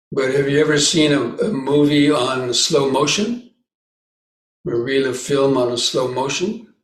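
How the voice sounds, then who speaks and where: With ordinary pitch variation, this somewhat breathy voice proceeds at a fairly slow speed. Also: man, fairly high pitch for a man. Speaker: Buddhist monk, meditation teacher. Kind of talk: dharma talk at meditation retreat.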